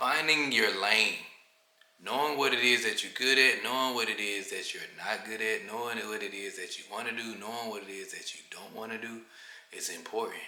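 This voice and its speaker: A man at a moderate pace with fairly even intonation, audible room echo and noticeable background noise. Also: medium pitch for a man, big swings in loudness. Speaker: vlogger. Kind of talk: casual vlog monologue. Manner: monotone; mellow.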